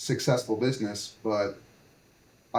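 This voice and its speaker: This man has a medium pitch and fairly even intonation. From Canada, New Brunswick. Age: 60s. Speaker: entrepreneur, brewery founder. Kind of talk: podcast interview. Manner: halting, many fillers.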